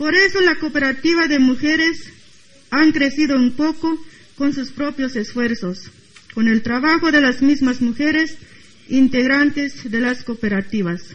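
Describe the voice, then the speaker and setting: Over noticeable background noise, a woman talks at a fairly slow pace. Her high-pitched voice shows ordinary pitch variation. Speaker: Zapatista cooperative representative. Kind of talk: prepared talk at panel.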